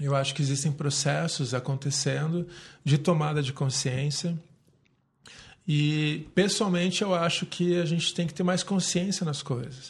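A man's somewhat breathy voice at a fairly slow pace, over a quiet background. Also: fairly high pitch for a man, fairly even intonation. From Brazil, Curitiba. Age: 30s. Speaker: city councillor and yoga teacher. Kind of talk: casual interview.

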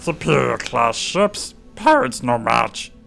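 A croaky put-on character voice at a fairly slow pace, with faint music in the background. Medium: read story. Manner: broken clipped speech, frantic, barking orders.

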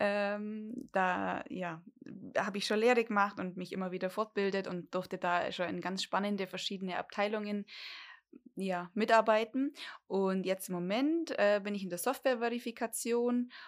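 The recording is very clean, with a silent background. A woman speaks at a medium pitch and a moderate pace in a normal speaking voice. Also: ordinary pitch variation. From Bavarian Swabia, Germany (Dillingen an der Donau). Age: 30s. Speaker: podcast co-host, lab test engineer. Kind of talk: casual chat. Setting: home, garden table.

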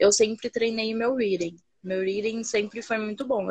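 The woman's pitch is fairly high. She keeps a moderate pace. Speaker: English learner joining a live stream. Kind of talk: casual chat. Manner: hesitant, with many fillers and restarts.

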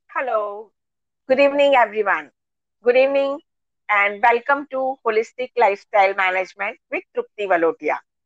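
A woman speaks with lively intonation. Her pitch sits fairly high. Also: dry, close sound with no echo. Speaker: talk show host. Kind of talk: online interview. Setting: live online session.

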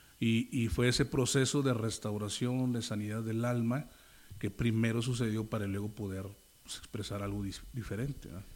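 With an ordinary speaking voice, a man talks at a moderate pace in a medium pitch with fairly even intonation. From Monterrey, northern Mexico. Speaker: rapper and pastor. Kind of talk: casual interview. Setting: on location, outdoors street. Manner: casual, slangy.

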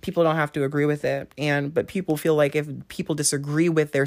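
A woman with a very deep, low pitch speaks at a fairly quick pace in a flat monotone, in a very clean recording with a silent background. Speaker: podcast co-host. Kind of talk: casual chat. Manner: calm; soft.

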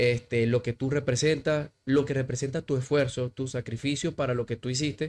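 In an ordinary speaking voice, a man with a fairly high pitch talks at a moderate pace with fairly even intonation. The recording is very clean, with a silent background. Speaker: CrossFit coach. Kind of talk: casual interview.

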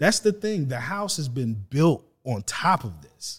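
A man with an American accent speaks in a fairly high, somewhat breathy voice. His pitch swings very widely, and the recording is very clean with a silent background. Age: 40s. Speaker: real estate agent and podcast co-host. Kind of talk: casual discussion.

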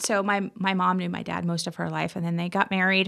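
With an American accent, a woman speaks at a medium pitch in a bright, sharp tone, with ordinary pitch variation. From Indiana, US Midwest. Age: 30s. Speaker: podcast guest. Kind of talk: casual chat.

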